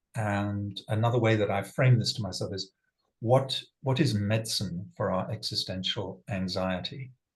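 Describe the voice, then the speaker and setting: A somewhat breathy voice at a moderate pace with ordinary pitch variation. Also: man, fairly low pitch for a man. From England. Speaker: sustainability leader and facilitator. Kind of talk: personal talk to online group.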